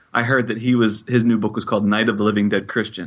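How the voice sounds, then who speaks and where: A man's medium-pitched, ordinary speaking voice with an American accent and fairly even intonation, against a quiet background. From Pittsburgh, Pennsylvania. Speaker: college teacher and writer, podcaster. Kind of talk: interview.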